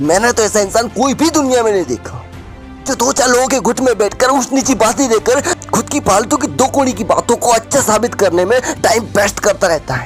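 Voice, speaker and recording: A man speaks at an extremely high pitch and a moderate pace, with ordinary pitch variation and very even loudness. Music plays in the background. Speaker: motivational speaker. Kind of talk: motivational speech. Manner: energetic, intense.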